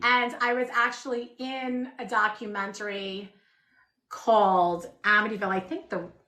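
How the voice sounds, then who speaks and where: At a moderate pace, a woman with a Long Island accent speaks at a fairly high pitch with ordinary pitch variation. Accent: true shore Long Island. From Long Island, New York. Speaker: shop owner. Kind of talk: casual chat. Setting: livestream.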